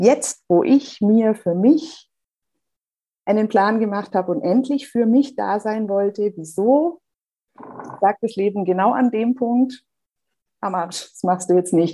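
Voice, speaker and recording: A fairly high-pitched woman speaks very slowly, with long, frequent pauses, lively intonation and big swings in loudness. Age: 40s. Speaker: breast cancer survivor, office assistant. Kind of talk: interview. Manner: hesitant.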